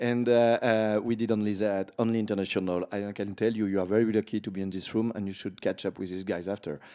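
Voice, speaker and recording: In a very clean recording with a silent background, a man with a French accent speaks very fast with hardly any pauses, his fairly low pitch, dark, mellow tone and flat, monotone intonation. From France. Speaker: panel moderator, event founder. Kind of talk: panel discussion. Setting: conference stage with audience.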